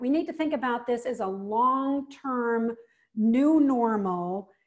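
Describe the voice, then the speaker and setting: The speaker talks at a very slow pace with ordinary pitch variation. The background is quiet. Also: woman, high pitch for a woman. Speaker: professional health speaker. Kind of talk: video call host talk.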